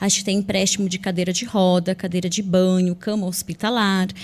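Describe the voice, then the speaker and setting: A woman speaks in a somewhat breathy voice. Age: 40s. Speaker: social worker. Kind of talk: interview.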